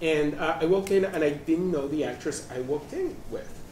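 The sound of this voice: Audible room echo surrounds a man's fairly high voice. His tone is slightly mellow and his pace moderate. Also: ordinary pitch variation.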